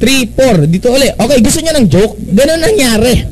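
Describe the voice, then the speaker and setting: Over noticeable background noise, a man talks at a very fast pace in an animated tone with very wide pitch swings. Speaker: network marketing presenter. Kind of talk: business opportunity presentation.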